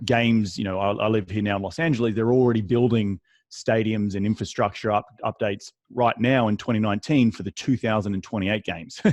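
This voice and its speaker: With an Australian accent, a man with a fairly low pitch talks at a very fast pace over a quiet background. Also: fairly even intonation. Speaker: real estate investor. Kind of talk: interview. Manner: repetitive restarts, halting.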